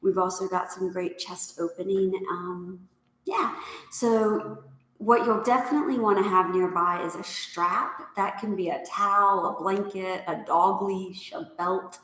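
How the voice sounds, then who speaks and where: A woman at a fairly slow pace and medium pitch, with audible room echo. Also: fairly even intonation. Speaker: yoga instructor. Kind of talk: live class instruction. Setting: yoga studio, live class. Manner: calm, unhurried.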